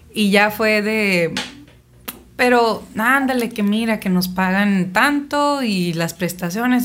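A woman's medium pitch at a very slow pace, with ordinary pitch variation and audible room echo. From Mexico, Sonora (Navojoa). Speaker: singer. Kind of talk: casual interview. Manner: animated.

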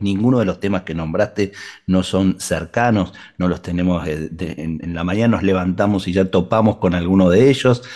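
A dark, mellow tone carries speech at a moderate pace with ordinary pitch variation. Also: man, very deep, low pitch for a man. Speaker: radio host. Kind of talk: radio interview; announcement.

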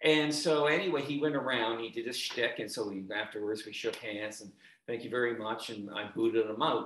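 A man's normal speaking voice at medium pitch, fairly quick, with ordinary pitch variation and big swings in loudness.

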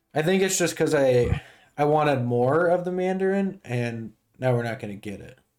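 A man with an ordinary speaking voice talks at a fairly high pitch and a moderate pace. His intonation is lively, and his loudness swings widely. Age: 20s. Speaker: podcast host. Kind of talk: casual chat.

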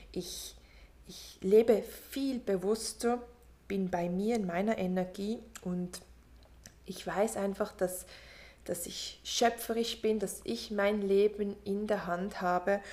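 A woman's medium-pitched voice moves at a very slow pace, her intonation fairly even throughout. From Switzerland. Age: 30s. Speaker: podcast host, mindfulness coach. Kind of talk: motivational monologue. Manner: warm, soft.

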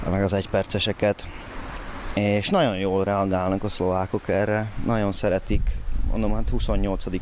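Amid noticeable background noise, a man with a fairly low pitch speaks at a moderate pace with ordinary pitch variation. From southern Slovakia (Hungarian minority, Szőgyén). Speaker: stage actor and director. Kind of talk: casual chat. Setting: outdoors.

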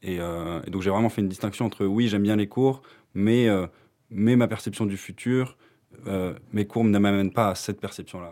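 The man's tone is dark and mellow, with fairly even intonation. He takes long, frequent pauses, and the recording is very clean with a silent background. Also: fairly low pitch for a man, moderate pace. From France. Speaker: university student. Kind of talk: casual chat.

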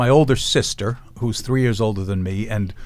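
A man talks with a New York accent. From New York City, Lower East Side. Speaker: defense attorney. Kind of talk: casual chat.

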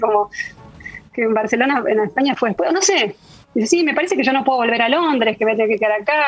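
Over noticeable background noise, a woman speaks in a high pitch. Her intonation is lively. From Argentina. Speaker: food technologist. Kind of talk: interview. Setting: video call.

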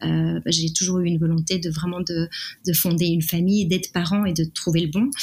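A woman speaks at a fairly quick pace in a somewhat breathy, monotone voice, her loudness very even and her intonation flat. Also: fairly low pitch for a woman. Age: 30s. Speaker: art director sharing a fertility story. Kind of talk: personal testimony interview. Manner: hesitant, many fillers.

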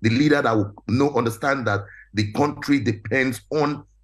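A man's somewhat breathy, medium-pitched voice at a moderate pace, fairly even in intonation, against a quiet background. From Nigeria. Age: 40s. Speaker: real estate entrepreneur. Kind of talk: panel discussion. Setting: video call.

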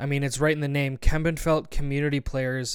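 The speaker is a man with a Canadian accent and a normal speaking voice. His pitch is fairly high and his intonation fairly even. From Canada, Barrie, Ontario. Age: 20s. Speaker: podcast host and theater actor. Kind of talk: casual monologue.

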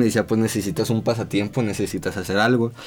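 Noticeable background noise is present throughout. A man speaks over it at a fairly quick pace. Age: 20s. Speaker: photographer and video director. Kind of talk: casual chat. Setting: studio.

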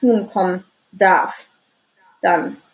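Fairly even intonation marks a woman's medium-pitched speech. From Düsseldorf, Germany. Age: 30s. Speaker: anxiety and stress coach. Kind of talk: interview, personal life story. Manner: many filler sounds, hesitant.

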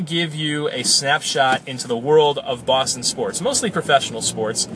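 With an American accent and a relaxed tone, a man talks at a moderate pace with lively intonation over noticeable background noise. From western Massachusetts. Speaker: sports podcast host. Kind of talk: casual monologue. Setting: in a car. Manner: relaxed with frequent fillers.

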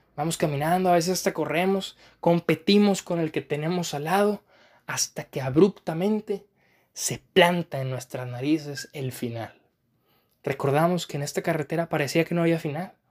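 A man speaks in a calm tone at a high pitch. His pitch varies in an ordinary way. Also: moderate pace, very clean recording, silent background. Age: 20s. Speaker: podcast host, philosophy student. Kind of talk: reflective monologue.

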